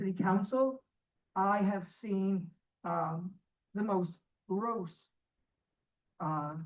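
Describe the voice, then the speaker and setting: Speaking at a very slow pace with long, frequent pauses, a woman uses a medium pitch. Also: ordinary pitch variation. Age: 80s+. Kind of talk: public comment at council meeting. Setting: council meeting with microphone, audience. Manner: halting, many repetitions and fillers; indignant, emphatic.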